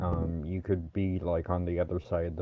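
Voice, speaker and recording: A man talks in a flat monotone at a very deep, low pitch. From Alaska. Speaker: podcast co-host. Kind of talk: casual chat.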